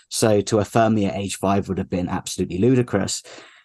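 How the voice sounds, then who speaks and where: A man with a British accent speaks in a fairly low pitch against a quiet background. His intonation is monotone and flat. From UK. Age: 30s. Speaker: activist. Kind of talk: interview.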